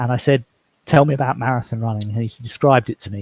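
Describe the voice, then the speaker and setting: Somewhat breathy, in an English accent, this voice moves at a very fast pace with ordinary pitch variation. The recording is very clean with a silent background and a dry, close sound with no echo. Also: man. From England. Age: 60s. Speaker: author. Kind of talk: interview.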